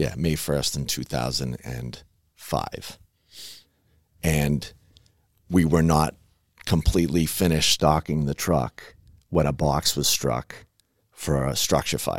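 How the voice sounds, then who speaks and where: Very slowly and with long, frequent pauses, a man with an American accent speaks in a very deep, low voice with vocal fry and fairly even intonation. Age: 40s. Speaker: firefighter lieutenant and paramedic. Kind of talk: interview. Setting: studio.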